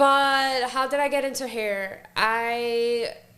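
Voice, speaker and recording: With audible room echo around her, a woman speaks at a fairly high pitch with fairly even intonation. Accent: American. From Florida, Palm Beach. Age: 30s. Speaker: hairstylist. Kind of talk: casual chat.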